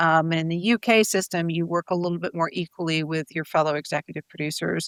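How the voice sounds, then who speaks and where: A woman talks at a very fast pace with an American accent. Her intonation is fairly even, and the sound is dry and close with no echo. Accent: sounds American. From United States. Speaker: TV showrunner and screenwriter. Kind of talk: interview. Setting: video call. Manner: hesitant, many fillers and repeats.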